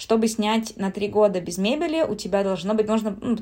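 Speaking at a fairly quick pace, a woman has a dark, mellow tone on a very clean recording with a silent background. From Siberia, Russia. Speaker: traveler and writer. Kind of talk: casual chat.

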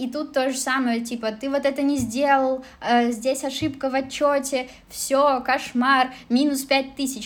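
A woman speaks at a high pitch with a monotone, flat intonation. Her pace is fairly slow. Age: 20s. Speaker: former office manager and kpop cafe assistant manager. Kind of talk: casual interview chat.

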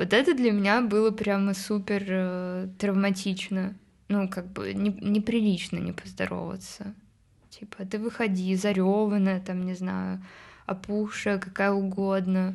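Against a quiet background, a woman speaks with monotone, flat intonation. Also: medium pitch for a woman, fairly slow pace. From Moscow, Russia. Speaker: indie pop musician. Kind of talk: casual interview chat.

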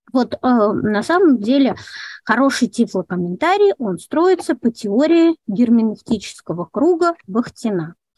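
A woman, fairly high-pitched and fairly slow, with very wide pitch swings and a dry, close sound with no echo. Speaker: guide for visually impaired tourists. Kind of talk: webinar lecture. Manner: structured, measured.

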